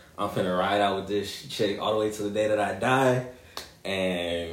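A man's fairly low voice at a moderate pace, with noticeable background noise and audible room echo. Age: 20s. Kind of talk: casual chat.

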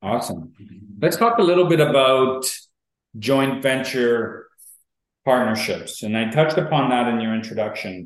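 Man with an Ontario accent at a medium pitch, moderate pace, lively intonation and long, frequent pauses, with audible room echo. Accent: Canadian (Ontario). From York Region, Ontario, Canada. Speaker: podcast host and real estate investor. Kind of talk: casual interview chat.

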